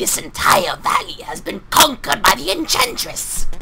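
Gruff and put-on, this character voice moves at a moderate pace against clear background noise.

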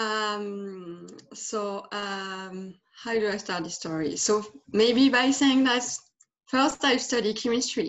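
With a French accent, a woman speaks at a very slow pace and a fairly high pitch, with ordinary pitch variation and long, frequent pauses. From France. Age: 30s. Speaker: life transition guide. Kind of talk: interview. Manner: halting. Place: home room. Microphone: video call.

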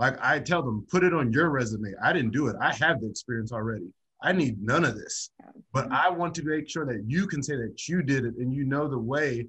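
The delivery comes at a fairly quick pace with lively intonation. The tone is bright and sharp. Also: man, quiet background. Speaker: college athletics administrator. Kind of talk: panel discussion. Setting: video call. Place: office. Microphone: video call.

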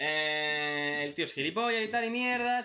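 A man's voice with very wide swings in pitch. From Spain. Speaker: manga reaction youtuber; webcomic reaction youtuber. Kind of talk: casual commentary; casual commentary recapping a comic. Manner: animated. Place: home room.

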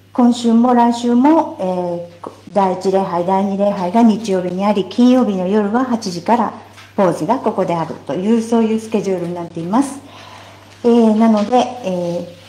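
Audible room echo surrounds a woman speaking at a moderate pace. Her voice shows ordinary pitch variation and big swings in loudness. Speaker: church announcer. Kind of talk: church announcements. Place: church.

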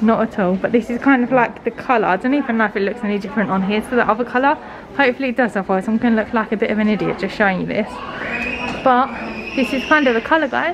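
A woman talks at a very fast pace over noticeable background noise. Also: ordinary pitch variation. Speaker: vlogger. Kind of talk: casual vlog chat. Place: shop. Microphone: phone near.

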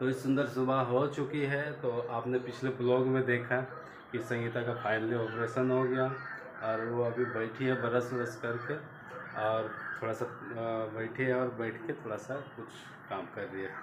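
Over noticeable background noise, a man speaks at a fairly slow pace with a monotone, flat intonation. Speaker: home vlogger. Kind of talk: casual vlog chat. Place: home room. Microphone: phone near.

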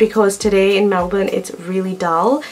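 A woman is speaking. Her intonation is fairly even. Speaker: home makeover vlogger. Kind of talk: casual vlog chat. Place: home room.

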